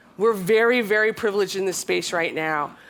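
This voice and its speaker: On a very clean recording with a silent background, a woman with an ordinary speaking voice talks at a fairly high pitch with lively intonation. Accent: American. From USA. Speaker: tech company co-founder, panelist. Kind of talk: panel discussion.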